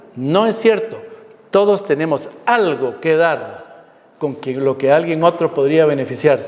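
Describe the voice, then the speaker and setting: Noticeable background noise sits behind a man talking. His pace is fairly slow and his intonation lively. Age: 60s. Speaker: physician. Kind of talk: lecture.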